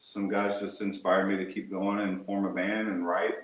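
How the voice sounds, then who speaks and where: At a moderate pace, the speaker talks in a strong Texan accent, with audible room echo and noticeable background noise. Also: man. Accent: thick Texan. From Texas, Houston area. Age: 40s. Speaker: musician. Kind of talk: interview.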